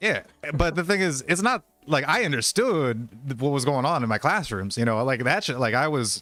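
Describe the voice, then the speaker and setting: This man's pitch is medium. His recording is very clean, the background silent. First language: Spanish. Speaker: podcast co-host. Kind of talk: casual chat. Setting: live stream. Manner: animated.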